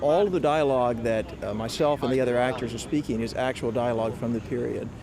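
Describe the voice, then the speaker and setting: With a coastal South Carolina accent, a man speaks at a very fast pace in a medium pitch with ordinary pitch variation. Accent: Southern US (coastal South Carolina). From US South, coastal South Carolina. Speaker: actor. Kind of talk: interview.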